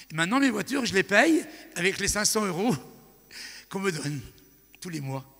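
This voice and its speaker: At a moderate pace, a man with a high pitch and a bright, sharp, animated tone swings very widely in pitch and greatly in loudness, leaving long, frequent pauses. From France. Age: 60s. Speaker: evangelist preacher. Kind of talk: sermon.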